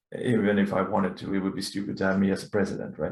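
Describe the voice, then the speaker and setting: A man with a Swedish accent talks in a fairly low voice with vocal fry. His pitch varies in an ordinary way. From Sweden. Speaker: laser tag player and council member. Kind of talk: podcast interview. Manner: halting.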